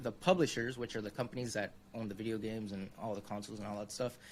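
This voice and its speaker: A man does the talking. His speech carries a Spanish accent. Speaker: UX designer, consultancy founder. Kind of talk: interview, career story. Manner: casual, many fillers.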